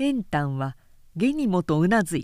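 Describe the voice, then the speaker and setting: In a very clean recording with a silent background, a woman speaks at a very slow pace, her medium pitch moving in very wide swings. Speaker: narrator reading a novel aloud. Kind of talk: dramatic narration, reading aloud a historical novel. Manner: measured, solemn storytelling pace with forceful delivery in battle and execution scenes.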